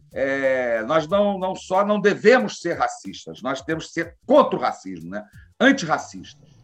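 Music plays in the background as a man speaks at a fairly slow pace. His high voice makes very wide pitch swings. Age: 50s. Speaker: criminal lawyer and cannabis activist. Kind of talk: casual interview.

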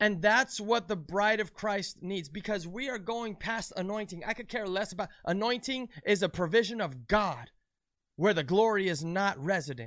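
Over a silent background in a very clean recording, a speaker with an American accent talks in an animated tone. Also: man, high pitch for a man, ordinary pitch variation, moderate pace. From United States. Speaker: preacher. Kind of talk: sermon.

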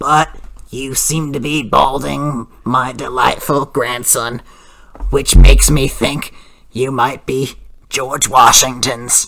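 A raspy, put-on character voice sits at a low-to-middle pitch. The delivery is fairly slow. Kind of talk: comic overacting prank call. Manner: rambling, raspy coughing.

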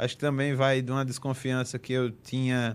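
The speaker is a man with a strong northeastern Brazilian accent. His pitch sits in the medium range. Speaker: football podcast host. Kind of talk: casual chat.

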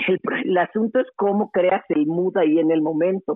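At a fairly slow pace, a woman with a Mexican accent speaks at a medium pitch. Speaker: radio host and journalist. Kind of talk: casual interview.

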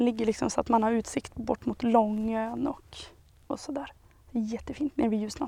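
A woman's dark, mellow voice at a fairly high pitch, moving at a moderate pace. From Sweden, Hälsingland (Järvsö). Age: 20s. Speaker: local association chairperson. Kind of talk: interview.

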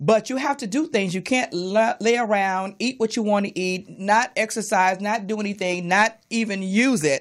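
Over a quiet background, a woman speaks in an ordinary speaking voice at a medium pitch and moderate pace, with ordinary pitch variation and hardly any pauses. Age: 60s. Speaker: radio host. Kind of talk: casual chat. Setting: studio.

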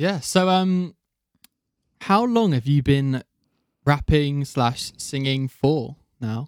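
A man speaks with a British accent at a very slow pace, leaving long, frequent pauses. The sound is dry and close, with no echo. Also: fairly high pitch for a man, lively intonation. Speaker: podcast host. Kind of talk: casual chat.

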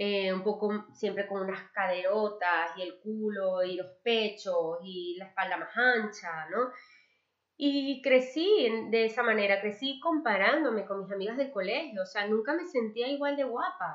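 Using a plain, everyday voice, a woman talks at a fairly slow pace with medium pitch and lively intonation. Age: 30s. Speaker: podcast host. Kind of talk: personal monologue.

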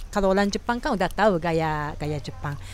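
A woman of medium pitch with a Japanese accent and lively intonation. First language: Japanese (speaking Indonesian). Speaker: podcast host. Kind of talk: casual chat. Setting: small restaurant.

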